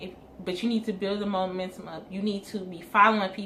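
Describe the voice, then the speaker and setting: Audible room echo surrounds a woman speaking at a medium pitch. She moves along at a fairly quick pace. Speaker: hair business owner and vlogger. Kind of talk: casual advice talk to camera.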